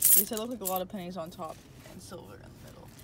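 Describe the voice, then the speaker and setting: A woman is heard over loud background noise in a dry recording with no echo. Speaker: vlogger. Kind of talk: casual vlog chat. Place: street. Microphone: phone near.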